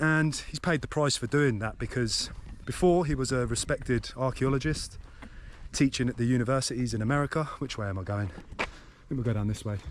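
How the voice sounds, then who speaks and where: Speaking at a fairly quick pace, a man has an English accent. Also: medium pitch for a man, ordinary pitch variation. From England. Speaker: travel vlogger. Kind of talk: vlog narration.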